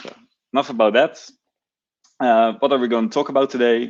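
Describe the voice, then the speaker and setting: Against a quiet background, a man speaks with a Dutch accent. His pace is fairly quick and his intonation fairly even. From Netherlands. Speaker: software engineer and conference speaker. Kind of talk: conference talk.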